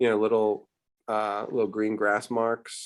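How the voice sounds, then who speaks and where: A man at a moderate pace. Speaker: art teacher. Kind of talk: online art lesson. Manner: animated.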